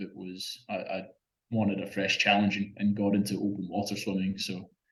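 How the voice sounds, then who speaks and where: Speaking at a fairly quick pace in a Scottish accent, a man uses a fairly low pitch and a bright, sharp tone. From Scotland. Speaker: open-water swimmer. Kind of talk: interview. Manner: halting, many repeated words.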